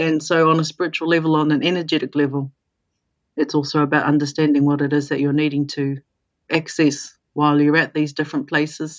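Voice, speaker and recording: The delivery is fairly quick and monotone, with flat intonation, in a New Zealand accent. Loudness stays very even throughout. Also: woman, very deep, low pitch for a woman. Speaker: intuitive coach and mentor. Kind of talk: podcast interview.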